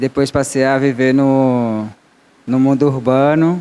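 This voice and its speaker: A man's voice at a medium pitch. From Guarani Kaiowá community, Mato Grosso do Sul, then Bahia backcountry. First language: Guarani (Tupi family) (speaking Portuguese). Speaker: agroecological farmer and panelist. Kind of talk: panel talk. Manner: halting, with self-corrections.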